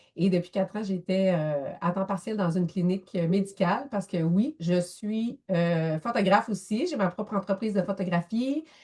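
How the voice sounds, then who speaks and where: A woman with a Quebec accent speaks at a moderate pace with hardly any pauses. Her medium-pitched voice is dark, mellow and somewhat breathy, with ordinary pitch variation. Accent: Québécois French. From Quebec, near Thetford Mines. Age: 40s. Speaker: photographer and social worker. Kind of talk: interview. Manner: animated.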